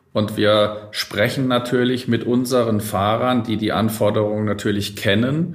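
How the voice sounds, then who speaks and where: At a fairly slow pace, the speech keeps very even loudness and fairly even intonation, with audible room echo. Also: man, fairly low pitch for a man. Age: 40s. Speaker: logistics company executive. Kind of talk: interview. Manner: formal.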